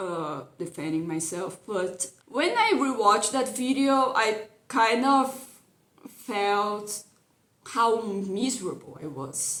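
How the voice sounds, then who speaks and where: This woman has a non-native accent and a fairly high pitch. She speaks very slowly with lively intonation. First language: not English. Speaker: YouTube cartoon commentator. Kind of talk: casual video commentary. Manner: hesitant, repeats words.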